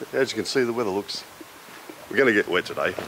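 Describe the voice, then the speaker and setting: Light background noise behind a speaking man. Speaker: motorbike travel vlogger. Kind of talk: casual vlog chat. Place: street. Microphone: phone near.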